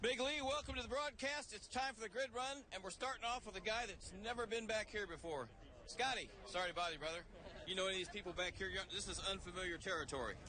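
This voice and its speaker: Over noticeable background noise, a man with a high pitch speaks in a raised, projected voice at a very fast pace with lively intonation. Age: 60s. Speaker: pit reporter. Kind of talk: live grid walk interviews. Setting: outdoors on race grid. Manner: fast, casual.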